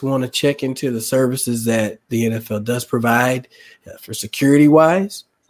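A man's medium-pitched voice at a fairly slow pace, a normal speaking voice with lively intonation, on a very clean recording with a silent background. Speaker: podcast host. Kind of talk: casual sports talk. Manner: casual, chatty.

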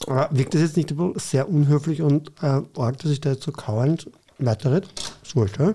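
Fairly high male voice, somewhat breathy with a dark, mellow tone, very even loudness, ordinary pitch variation and a moderate pace. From Vienna, Austria (Floridsdorf). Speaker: cabaret artist and teacher. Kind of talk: casual interview chat.

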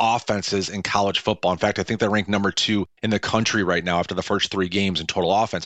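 A man with an American accent talks in a plain, everyday voice. His pitch is fairly low and his intonation fairly even. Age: 40s. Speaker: sports journalist. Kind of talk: radio sports analysis.

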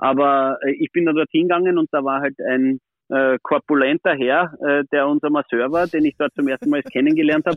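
A man with a plain, everyday voice talks at a fairly quick pace in a fairly high pitch, his loudness very even and his intonation fairly even. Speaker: former ice hockey goalie, player agent. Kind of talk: casual interview. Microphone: poor sound quality.

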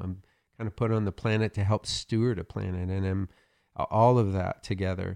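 A man speaks at a fairly low pitch with an American accent. The sound is dry and close with no echo, over a quiet background. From Oklahoma, US South. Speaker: pastor. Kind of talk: interview.

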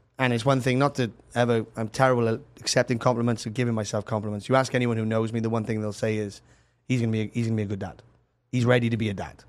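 Very fast, monotone, flat delivery in a Welsh accent, in a very clean recording with a silent background. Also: man, medium pitch for a man. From Wales, Cardiff. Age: 30s. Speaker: musician. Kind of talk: casual interview. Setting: studio.

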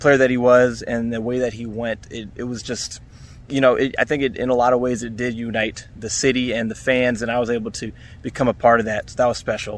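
A man speaks at a fairly quick pace in a medium pitch. His intonation is flat and monotone. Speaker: podcaster and sports fan. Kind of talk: recorded fan testimony.

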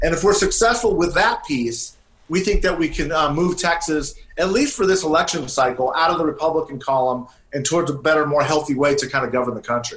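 A man's fairly high voice with an American accent, very fast, with ordinary pitch variation. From California. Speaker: political operative. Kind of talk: interview.

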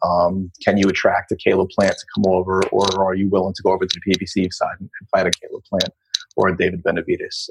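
A man's voice, dry and close with no echo, big swings in loudness, at a fairly quick pace. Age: 40s. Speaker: boxing writer. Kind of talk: interview.

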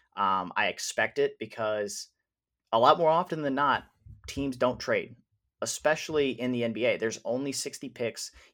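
On a very clean recording with a silent background, a man with an ordinary speaking voice talks at a moderate pace with a fairly high pitch and ordinary pitch variation. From Wisconsin. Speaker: sports podcast co-host. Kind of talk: casual chat.

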